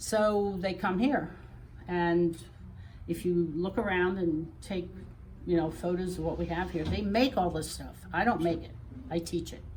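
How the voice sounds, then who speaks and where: A woman speaks at a fairly slow pace with long, frequent pauses and fairly even intonation. Her pitch sits fairly low, and the room echo is audible. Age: 70s. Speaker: quilt shop founder. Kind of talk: interview on a shop tour. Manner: halting.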